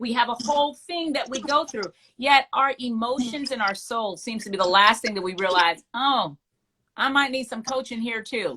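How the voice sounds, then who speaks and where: A woman with a high pitch and a bright, sharp, animated tone speaks at a moderate pace with ordinary pitch variation. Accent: American. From Bahamas. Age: 40s. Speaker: talk show host. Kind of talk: casual interview chat.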